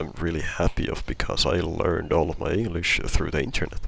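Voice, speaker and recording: A quiet man with a non-native accent speaks at a moderate pace. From not US or UK. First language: not English. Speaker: gamer, video creator. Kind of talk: casual chat. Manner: halting, many repetitions.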